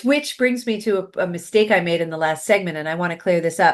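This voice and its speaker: This woman speaks with a New York accent. Her pitch is medium. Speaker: podcast host and success coach. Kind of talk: interview talk show.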